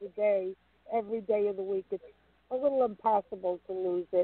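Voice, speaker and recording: With a strong New York accent, a woman speaks at a medium pitch using fairly even intonation. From New York, Brooklyn. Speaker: caller. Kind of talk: phone-in question.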